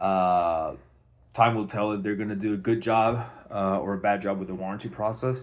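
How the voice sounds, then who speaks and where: Fairly even intonation at a moderate pace. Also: man, fairly low pitch for a man. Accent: non-native. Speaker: homeowner. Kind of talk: personal video documentation. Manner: halting, many fillers. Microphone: phone mic, no external mic.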